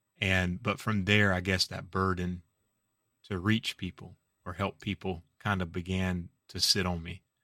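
A man with a very deep, low pitch and a bright, sharp tone speaks fairly slowly in a monotone, flat intonation. The sound is dry and close with no echo, in a very clean recording with a silent background. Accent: South Carolina. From US South, Orangeburg, South Carolina. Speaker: pastor. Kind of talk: podcast interview.

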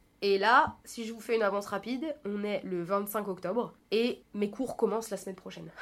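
With noticeable background noise, a woman talks at a moderate pace and medium pitch, with ordinary pitch variation, big swings in loudness and hardly any pauses. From France, Paris region. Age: 20s. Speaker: podcast host. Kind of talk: solo personal monologue. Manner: casual, chatty.

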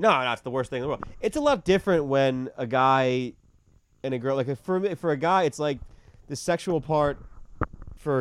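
A man speaks in a New York accent at a fairly quick pace. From New York City, Queens (Middle Village). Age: 30s. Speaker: comedian. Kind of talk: casual chat. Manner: loud.

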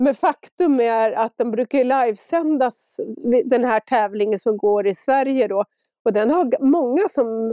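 A woman speaks at a high pitch and a fairly slow pace, with ordinary pitch variation and very even loudness. The sound is dry and close, without echo. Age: 50s. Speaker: ultrarunner. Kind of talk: interview.

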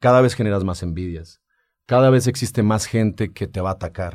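An unremarkable speaking voice from a man, medium in pitch, moderately paced, with ordinary pitch variation. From Mexico, Aguascalientes (Rincón de Romos). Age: 40s. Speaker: entrepreneur, mechanical engineer. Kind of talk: interview testimony.

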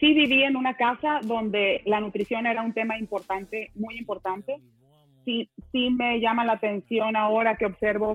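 With a normal speaking voice, a woman talks at a moderate pace and with fairly even intonation. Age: 40s. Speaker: nutrition and wellness panelist. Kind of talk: panel discussion.

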